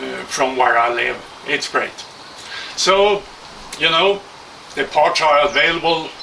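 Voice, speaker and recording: With a Swedish accent and ordinary pitch variation, a man speaks against noticeable background noise. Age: 60s. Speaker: hang glider kit builder. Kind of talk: product presentation. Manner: halting.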